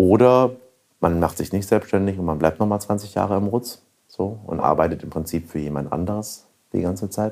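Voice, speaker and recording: A man speaks in a plain, everyday voice. His pitch varies in an ordinary way. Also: fairly low pitch for a man, moderate pace. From Franconia, near Nuremberg. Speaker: restaurateur. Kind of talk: casual interview.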